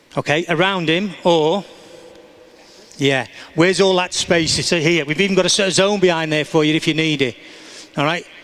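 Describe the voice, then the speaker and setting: A man with a high voice speaks at a moderate pace with fairly even intonation, taking long, frequent pauses over noticeable background noise. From England. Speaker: soccer coach. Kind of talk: coaching demonstration. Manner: instructive, encouraging.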